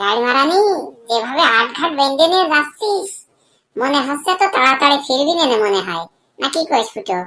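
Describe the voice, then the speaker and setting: At a moderate pace, a woman does a cartoonish character voice, pitched high with very wide pitch swings. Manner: coarse, teasing.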